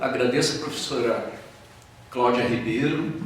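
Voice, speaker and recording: With a Rio de Janeiro accent, a man speaks at a fairly slow pace amid noticeable background noise and audible room echo. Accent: carioca, hissing sibilants. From Rio de Janeiro, Brazil. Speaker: philosophy professor. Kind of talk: lecture.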